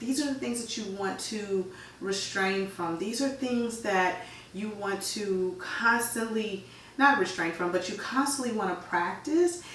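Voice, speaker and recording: A woman speaks in an animated tone at a fairly slow pace. Noticeable background noise and audible room echo fill the recording. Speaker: yoga teacher. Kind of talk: casual explanatory talk.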